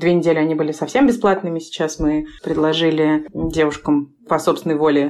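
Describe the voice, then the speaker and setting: Speaking at a fairly quick pace with fairly even intonation, a woman has a very deep, low pitch. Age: 30s. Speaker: author and co-founder of a maternal mental health project. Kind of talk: casual chat.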